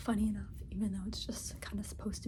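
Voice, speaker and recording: A soft-spoken woman whispers at a very fast pace over noticeable background noise. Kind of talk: asmr sketchbook tour, casual talk to camera. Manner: soft-spoken, whispery.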